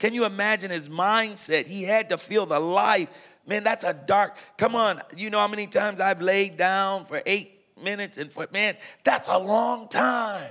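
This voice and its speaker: A raised, projected, high-pitched male voice with an American accent, an animated and bright, sharp tone, and a very clean recording with a silent background. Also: moderate pace. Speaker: pastor. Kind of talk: sermon-style talk at a worship service. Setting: worship service with student audience.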